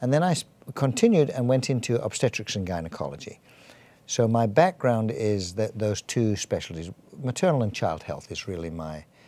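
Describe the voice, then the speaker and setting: A man with an English accent speaks at medium pitch and a moderate pace, his dark, mellow tone moving through very wide pitch swings. The recording is very clean, with a silent background. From England. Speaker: physician and church health director. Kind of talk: interview.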